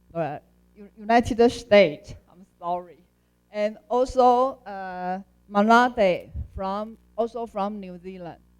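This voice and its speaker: A woman speaks very slowly at a medium pitch, with ordinary pitch variation and big swings in loudness. Music plays in the background. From Taiwan. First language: not English. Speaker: conference chair. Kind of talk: meeting chairing. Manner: halting.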